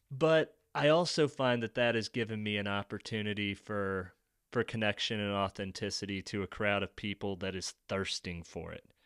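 A man's unremarkable speaking voice, fairly low in pitch with ordinary variation, at a moderate pace, in a dry, close, echo-free and very clean recording with a silent background. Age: 30s. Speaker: author and amateur marathon runner. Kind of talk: casual chat.

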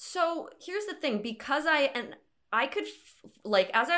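A woman talks in an unremarkable speaking voice. Her intonation is lively and her pace moderate. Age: 20s. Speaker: podcast co-host. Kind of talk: casual chat.

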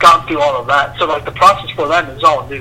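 A man talks with a fairly high pitch while noticeable background noise carries on underneath. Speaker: college student. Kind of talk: casual chat.

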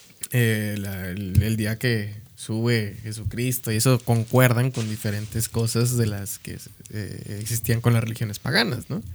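At a fairly slow pace, a man talks in a monotone, flat intonation. His pitch sits at a medium level. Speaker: podcast co-host. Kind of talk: casual chat.

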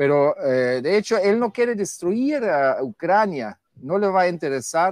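A man with a German accent speaks at a fairly slow pace in a high pitch, his voice making very wide pitch swings. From Germany. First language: German (speaking Spanish). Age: 50s. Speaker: guest commentator. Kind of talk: casual debate.

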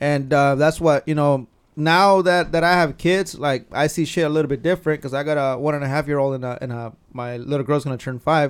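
This man has an American accent and an ordinary speaking voice. He talks at a fairly quick pace, with fairly even intonation and a fairly high pitch. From California (Carpinteria). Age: 30s. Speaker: truck club member and car enthusiast. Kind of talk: casual chat.

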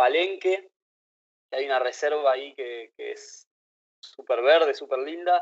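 Here a man talks at a fairly slow pace. He has a Rioplatense accent. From Argentina, Buenos Aires. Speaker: traveler and author. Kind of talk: casual chat. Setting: video call.

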